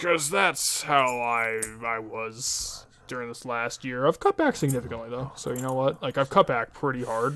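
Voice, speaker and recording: A man talks at a moderate pace, his medium pitch showing ordinary variation. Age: 20s. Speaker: video game streamer. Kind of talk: casual let's-play commentary. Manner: halting, many fillers.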